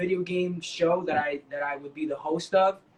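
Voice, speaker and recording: A man with a New York accent, high-pitched and fairly slow, amid noticeable background noise. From New York City, Washington Heights. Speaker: dancer and actor. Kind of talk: interview. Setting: online live stream.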